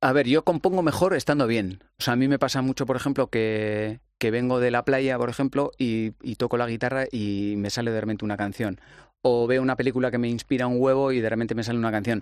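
Over a quiet background, a man with an unremarkable speaking voice talks at a fairly quick pace and medium pitch, with fairly even intonation and hardly any pauses. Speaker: musician. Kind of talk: casual chat.

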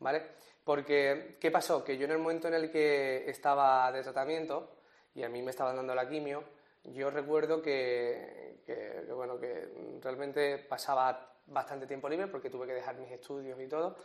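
A man at a fairly high pitch, moderate pace and monotone, flat intonation. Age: 20s. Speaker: radio presenter and cancer survivor giving talks. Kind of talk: personal testimony interview.

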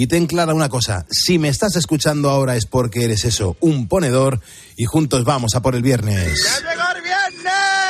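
Over noticeable background noise, a man with a fairly high pitch speaks in an animated tone with lively intonation. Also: moderate pace, very even loudness. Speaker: radio host. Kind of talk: casual chat. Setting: studio.

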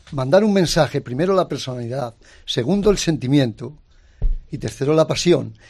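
A man's fairly high, somewhat breathy voice at a moderate pace, with lively intonation. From Spain, Ávila. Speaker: ham carver. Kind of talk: interview. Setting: studio with live audience. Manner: animated.

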